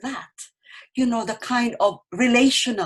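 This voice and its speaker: A woman talks with a Filipino accent. Her pitch is fairly high. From Philippines, Bicol region. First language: Bicol. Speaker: poet. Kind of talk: panel discussion. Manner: halting, with repetitions.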